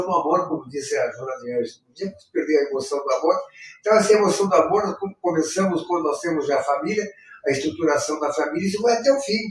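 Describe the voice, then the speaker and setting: A man talks at a very fast pace and high pitch, his intonation lively. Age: 70s. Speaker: spiritist center leader. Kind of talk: live talk on spiritism and depression. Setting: spiritist center, live stream. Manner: halting.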